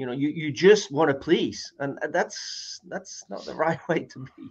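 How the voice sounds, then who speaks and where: Fairly slow in pace, a man with a fairly high pitch shows vocal fry, lively intonation and big swings in loudness. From Manchester, northern England. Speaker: guest speaker. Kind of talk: interview chat.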